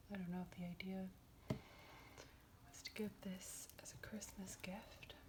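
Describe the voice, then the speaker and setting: Someone whispers at a very slow pace. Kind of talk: casual chatty talk about a book and birds. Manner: soft-spoken.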